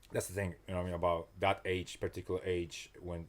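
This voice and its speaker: A man with a non-native accent and a very deep, low pitch is heard on a very clean recording with a silent background. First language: not English. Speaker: personal trainer and motivational coach. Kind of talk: casual interview chat. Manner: halting, many restarts and fillers.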